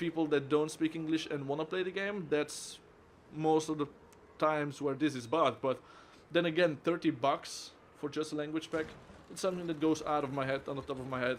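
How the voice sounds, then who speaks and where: Someone with a Flemish accent speaks at a fairly quick pace. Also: man, fairly high pitch for a man, fairly even intonation. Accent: Flemish Dutch accent in English. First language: Dutch (Flemish). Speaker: game reviewer. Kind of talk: video game review.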